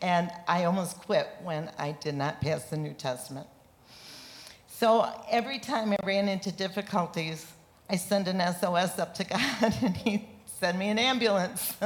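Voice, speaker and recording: A woman talks with a medium pitch and ordinary pitch variation. Noticeable background noise can be heard. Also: fairly slow pace. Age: 70s. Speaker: seminary student. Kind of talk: testimony. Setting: church stage with congregation.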